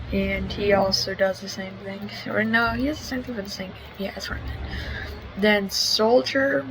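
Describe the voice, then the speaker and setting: A quiet woman's voice at a moderate pace, with big swings in loudness, audible room echo and music in the background. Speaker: gaming YouTuber. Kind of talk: gameplay commentary. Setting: at a family member's house. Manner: hesitant, many fillers.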